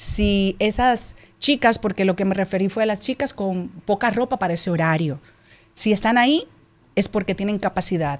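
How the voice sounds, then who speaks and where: A woman speaks at a medium pitch with lively, bouncing intonation. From Dominican Republic. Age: 40s. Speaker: TV presenter and politician; TV presenter, politician. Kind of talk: radio interview statement. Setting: radio studio. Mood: defensive, emphatic. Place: studio. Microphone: studio mic.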